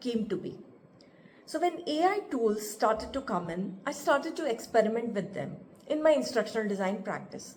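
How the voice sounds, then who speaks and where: A woman with an Indian accent talks at a moderate pace in a somewhat breathy, fairly high voice with very wide pitch swings. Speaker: instructional designer and author. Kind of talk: podcast talk. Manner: unscripted, casual.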